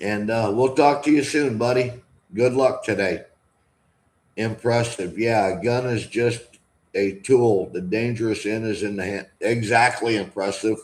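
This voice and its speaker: A man's plain, everyday voice at medium pitch, with an American accent, fairly even intonation and a fairly slow pace. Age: 60s. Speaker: vlogger. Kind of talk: live stream chat. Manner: casual.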